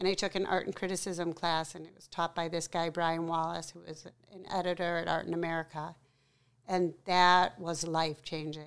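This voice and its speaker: Loudness swings a lot while the intonation stays flat and monotone, all on a very clean recording with a silent background. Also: woman, fairly low pitch for a woman, moderate pace. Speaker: artist and photographer. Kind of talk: interview, life story.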